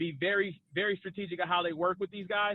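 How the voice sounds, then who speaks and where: Loud and high-pitched, a man talks with fairly even intonation. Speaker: cannabis business expert, panelist. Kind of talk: webinar panel discussion. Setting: video call while driving.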